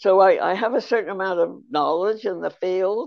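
With vocal fry, the voice moves at a fairly quick pace with ordinary pitch variation. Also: woman. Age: 80s. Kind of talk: casual interview.

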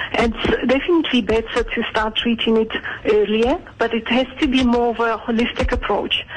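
There is noticeable background noise behind a speaker with a Georgian accent. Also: moderate pace. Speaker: aesthetic clinic doctor. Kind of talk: radio interview. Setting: phone call.

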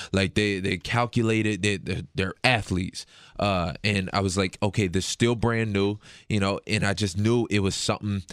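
An ordinary speaking voice with an American accent, moderate pace and fairly even intonation, in a dry, close sound with no echo and a very clean recording with a silent background. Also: man. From Detroit. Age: 20s. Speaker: MMA fighter. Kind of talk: recorded interview.

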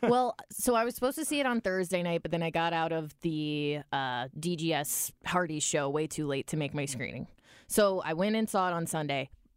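A plain, everyday voice from a woman, fairly low in pitch with lively intonation, on a very clean recording with a silent background. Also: moderate pace. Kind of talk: casual banter.

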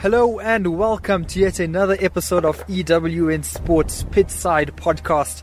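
A man speaks at a fairly slow pace with hardly any pauses. Noticeable background noise runs underneath. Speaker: sports podcast host. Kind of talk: casual chat. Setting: windy stadium outdoors.

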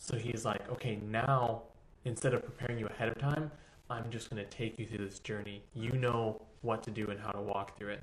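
A man with an American accent speaks at a fairly quick pace in a medium pitch. His voice is somewhat breathy, and room echo is audible. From Texas. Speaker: dance teacher. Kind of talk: casual chat. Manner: animated.

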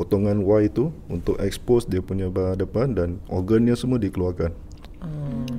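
A man's fairly low, dark and mellow voice at a moderate pace, with ordinary pitch variation. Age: 30s. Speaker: embalmer. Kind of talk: interview.

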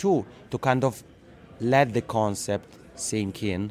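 The speaker has an Italian accent and ordinary pitch variation. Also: man. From Italian-speaking Switzerland. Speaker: podcasting consultant. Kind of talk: interview. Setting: conference.

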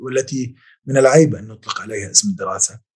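At a moderate pace, a man speaks in a somewhat breathy voice with ordinary pitch variation. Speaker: historian, professor. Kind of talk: interview.

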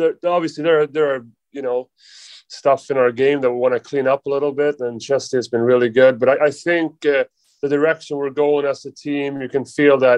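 Fairly even intonation in a Swedish accent, with a dry, close sound and no echo. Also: man. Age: 20s. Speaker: professional hockey player. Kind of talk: casual interview. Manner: halting.

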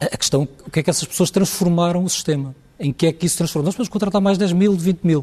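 A man speaks very fast, high in pitch yet dark and mellow in tone. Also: ordinary pitch variation. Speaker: hospital administrators' association president. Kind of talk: televised panel debate.

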